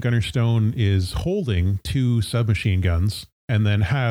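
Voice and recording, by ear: Reading aloud in a natural voice, with ordinary pitch variation, against a quiet background.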